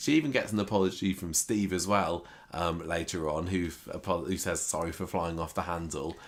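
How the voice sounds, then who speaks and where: A man speaks with a British accent at a fairly quick pace. His pitch is very deep and low. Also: fairly even intonation. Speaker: soap opera recap podcaster. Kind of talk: casual chat.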